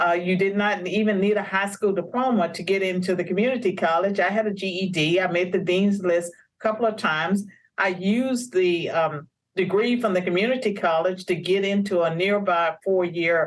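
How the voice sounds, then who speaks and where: Using a plain, everyday voice, a woman of medium pitch with an American accent speaks at a moderate pace with fairly even intonation. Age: 60s. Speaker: author and policy scholar. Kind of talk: interview.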